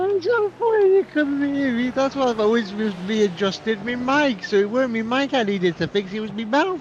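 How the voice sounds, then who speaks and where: Hardly pausing, a man talks at an extremely high pitch with very wide pitch swings. Noticeable background noise runs underneath. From Ireland. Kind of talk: casual chat. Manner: mumbling; fast.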